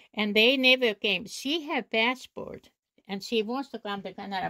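A woman's bright, sharp, fairly high voice with a Finnish accent, fairly slow and fairly even in intonation, over a quiet background. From Finland. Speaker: knitter and weaver. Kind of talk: storytelling interview.

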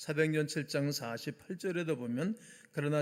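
A man speaks in a normal speaking voice at a fairly slow pace. His fairly high pitch moves in an ordinary way. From South Korea, Gimpo, Gyeonggi. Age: 60s. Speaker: pastor. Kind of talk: sermon.

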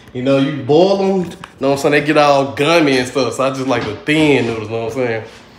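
A man's voice with ordinary pitch variation, audible room echo and music in the background. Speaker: vlogger filming at home. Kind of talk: casual vlog chat. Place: kitchen. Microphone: phone near.

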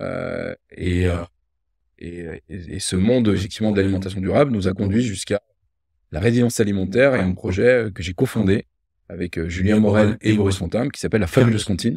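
A man's dark, mellow voice, fairly low in pitch, with big swings in loudness and a quiet background. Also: ordinary pitch variation, moderate pace. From France, Loire (Rive-de-Gier, between Saint-Étienne and Lyon); France. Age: 50s. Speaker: entrepreneur; guest. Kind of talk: casual interview conversation. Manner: hesitant, repeated words. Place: home room.

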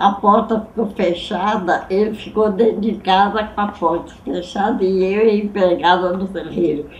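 Spoken at a fairly slow pace, the clip has audible room echo and light background noise. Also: woman. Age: 80s+. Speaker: great-grandmother storyteller. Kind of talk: interview answer. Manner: cheerful. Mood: lively, cheerful. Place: home room.

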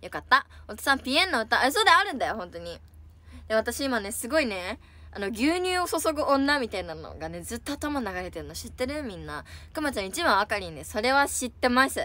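A woman speaks fairly quickly in an animated tone. Her loudness swings widely, and the sound is dry with no echo. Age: 20s. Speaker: idol livestreamer. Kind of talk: casual chat. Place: home room. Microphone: phone near.

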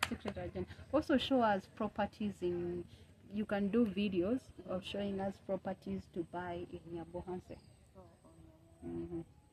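A woman speaks at a moderate pace with long, frequent pauses. Noticeable background noise runs behind her. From Kenya. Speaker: YouTuber; vlogger. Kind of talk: casual chat. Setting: outdoors. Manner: animated. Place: street.

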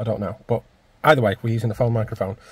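The voice sounds somewhat breathy, with a dry sound and no echo. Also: man. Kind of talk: casual vlog chat. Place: car. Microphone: phone near.

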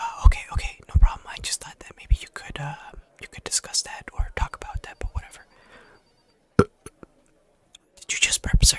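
A man whispers at a moderate pace, his loudness swinging widely. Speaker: scambaiter. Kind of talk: ASMR comedy sketch, whispered. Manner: whispered. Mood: playful, mock-polite. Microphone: studio mic.

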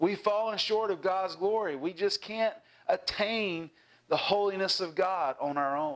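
A man speaks with a Southern US accent against a quiet background. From US South, South Carolina. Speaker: pastor. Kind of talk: sermon. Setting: church. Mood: warm, cheerful, animated. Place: home room. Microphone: lapel.

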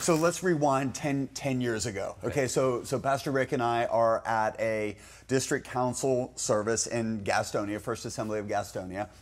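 A man's moderate pace, his pitch moving in an ordinary way. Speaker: pastor. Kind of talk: interview answer storytelling. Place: studio.

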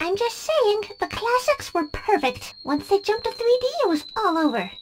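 This woman uses a cartoonish character voice at an extremely high pitch and a moderate pace. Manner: formal, haughty.

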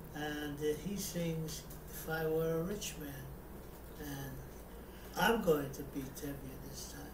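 A man at a very slow pace, over noticeable background noise. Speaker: war veteran; amateur theatre performer. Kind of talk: casual talk to camera. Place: home room. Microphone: webcam.

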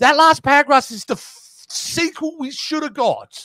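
A man with an Australian accent speaks at a fairly slow pace in a raised, projected voice. The sound is dry with no echo, over a quiet background. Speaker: movie review co-host. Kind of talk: casual chat. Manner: animated. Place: home room. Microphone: studio mic.

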